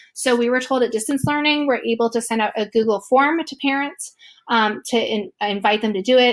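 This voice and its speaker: Fairly quick speech from a woman, pitched fairly high, with ordinary pitch variation. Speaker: teacher. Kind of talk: tutorial. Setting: screen recording. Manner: fast.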